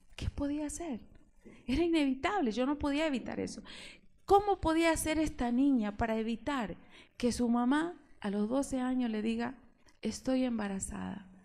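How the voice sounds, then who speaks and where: With an Argentine accent and a dark, mellow tone, the speaker uses lively intonation broken by long, frequent pauses. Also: woman, high pitch for a woman, moderate pace. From Argentina. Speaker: preacher. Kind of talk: sermon.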